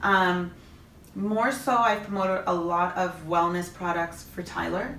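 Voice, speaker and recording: With a Canadian accent, a woman talks at a fairly slow pace in a medium pitch with ordinary variation. Audible room echo and noticeable background noise surround her. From Canada. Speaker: Instagram influencer and mother. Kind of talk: interview. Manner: loud; chatty.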